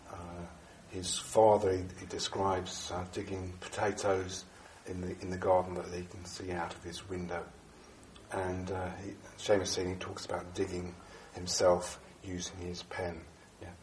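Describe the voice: A man talks at a fairly slow pace in a low, monotone voice with flat intonation. Room echo is audible around him.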